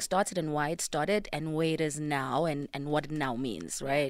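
A woman with a very deep, low pitch speaks in a nervous, calm tone on a very clean recording with a silent background. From South Africa, KwaZulu-Natal. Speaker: co-founder of an education non-profit. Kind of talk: casual radio interview. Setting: radio studio. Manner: nervous but calm-sounding, laughs often.

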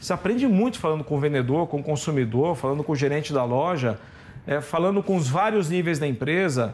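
An unremarkable speaking voice with lively intonation, very even loudness and a fairly quick pace. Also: man, fairly high pitch for a man. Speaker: retail company CEO. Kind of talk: interview.

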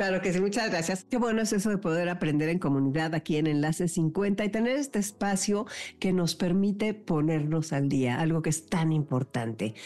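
The dark, mellow voice moves at a moderate pace with lively intonation, very even loudness, and hardly any pauses. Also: woman, fairly low pitch for a woman. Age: 60s. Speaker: radio host. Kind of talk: radio interview.

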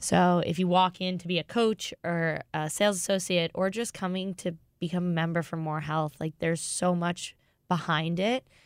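A woman speaks at a moderate pace in a normal speaking voice with an American accent, her fairly low pitch and fairly even intonation captured in a very clean, dry, close recording with a silent background and no echo. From Boston. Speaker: fitness head coach. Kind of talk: interview.

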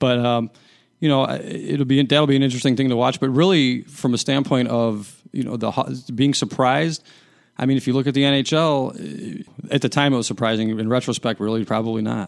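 A man with an American accent talks at a fairly quick pace in a plain, everyday voice. His medium pitch shows ordinary variation. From Chicago, US Midwest. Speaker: sports journalist. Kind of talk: casual chat.

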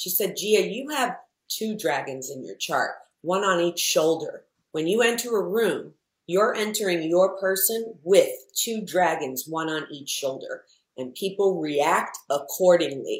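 A woman with an unremarkable speaking voice, medium in pitch, with lively intonation, big swings in loudness and a fairly slow pace. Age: 50s. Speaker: entrepreneur. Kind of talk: casual chat.

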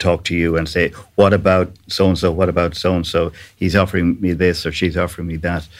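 A man with an Irish accent speaks at a fairly quick pace. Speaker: podcast host. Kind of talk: interview chat.

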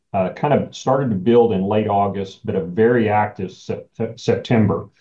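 This man has an unremarkable speaking voice, pitched fairly low. His intonation stays fairly even. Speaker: farmland real estate executive. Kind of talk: interview.

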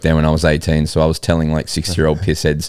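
Delivered at a fairly quick pace, the speech has a slightly mellow tone. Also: man.

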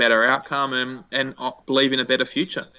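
This man's voice sits at a medium pitch, with an Australian accent. He talks at a fairly quick pace. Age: 20s. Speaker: education entrepreneur. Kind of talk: interview. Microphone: echo in the recording.

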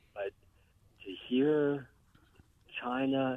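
This man speaks with an American accent. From Bulverde, Texas. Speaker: caller. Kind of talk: casual chat. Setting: phone call.

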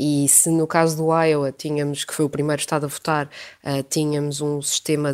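With a European Portuguese accent, a woman speaks in a very deep, low voice. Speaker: international news editor. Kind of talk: radio interview. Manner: hesitant, many fillers.

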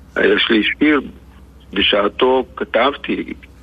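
This man talks with fairly even intonation. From Israel, Lod; Algerian-born family. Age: 80s+. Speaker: poet. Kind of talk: radio interview. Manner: halting, repeats words.

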